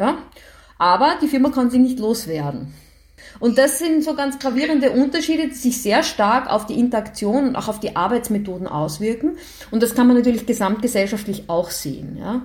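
This woman's voice is high-pitched. She speaks with lively intonation. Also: moderate pace. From Austria, Graz. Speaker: professor. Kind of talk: interview.

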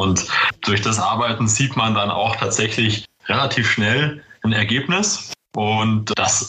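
A man at medium pitch speaks at a very slow pace. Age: 30s. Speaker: IT company managing director. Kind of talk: company podcast interview.

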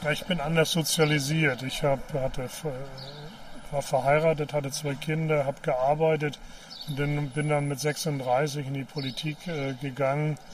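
Noticeable background noise sits under a man's voice. He speaks at a fairly slow pace with a fairly high pitch and monotone, flat intonation. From East Germany, Mecklenburg-Vorpommern. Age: 60s. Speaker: politician. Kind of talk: interview on a walk. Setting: outdoors, walking by a river.

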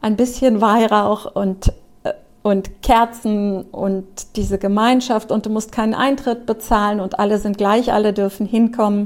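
An ordinary speaking voice from a woman, fairly high in pitch, fairly slow in pace, with ordinary pitch variation. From Germany, Trier. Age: 50s. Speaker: newspaper journalist. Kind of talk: interview.

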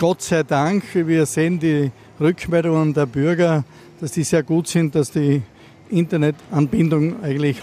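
In a normal speaking voice, someone talks at a fairly slow pace with ordinary pitch variation. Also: man. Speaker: mayor. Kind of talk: interview.

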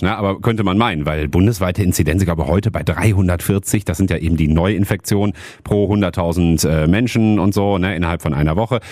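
The man's pitch is very deep and low, and his words come fairly quickly. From Hattingen, Ruhr area, Germany. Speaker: local radio host. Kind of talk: casual chat.

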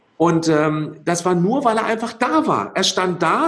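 A man is speaking. His pace is fairly slow. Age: 40s. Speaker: nutrition expert and athlete. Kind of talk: interview.

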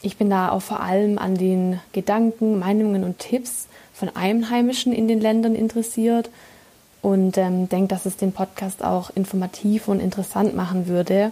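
Somewhat breathy, a woman speaks at medium pitch and a moderate pace, with a dark, mellow tone and monotone, flat intonation. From southern Germany. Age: 20s. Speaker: podcast host. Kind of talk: monologue. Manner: hesitant, many fillers.

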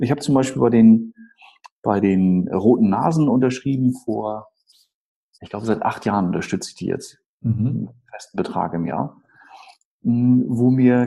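A man at medium pitch talks at a fairly slow pace in a dark, mellow tone. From northern Germany, Schleswig-Holstein (Eutin area). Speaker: storytelling speaker and sales trainer. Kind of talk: interview. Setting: video call.

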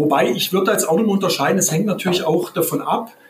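The speaker is male. His pitch rises and falls in a normal way. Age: 50s. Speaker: crime prevention officer. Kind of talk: podcast interview. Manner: halting, many repetitions and fillers.

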